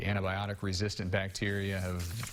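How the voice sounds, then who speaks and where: A man with a fairly low pitch and a plain, everyday voice. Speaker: news anchor. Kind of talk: TV news anchor read.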